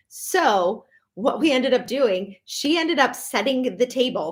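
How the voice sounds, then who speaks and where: A woman with a Minnesotan accent speaks at a fairly high pitch. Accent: Minnesota. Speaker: professional organizer. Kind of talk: live stream talk. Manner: casual, many fillers.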